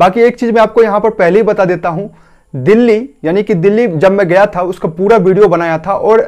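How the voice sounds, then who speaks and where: At a moderate pace and with ordinary pitch variation, a high-pitched man talks against a quiet background. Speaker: travel vlogger. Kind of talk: travel guide talk to camera. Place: home room. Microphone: lapel.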